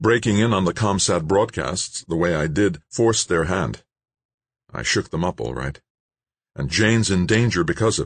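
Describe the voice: A man's put-on character voice, low in pitch with a slightly husky edge, lively intonation, and a moderate pace.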